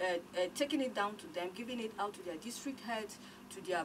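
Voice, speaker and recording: Against noticeable background noise, a woman talks at a fairly quick pace, her pitch medium with ordinary variation. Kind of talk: radio interview answer.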